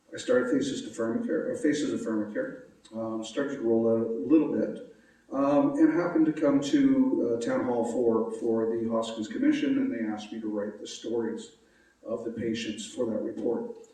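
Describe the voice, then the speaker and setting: Noticeable background noise and audible room echo behind a man at a moderate pace. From Nova Scotia, Canada. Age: 60s. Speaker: patient advocate. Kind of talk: public talk. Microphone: echo in room.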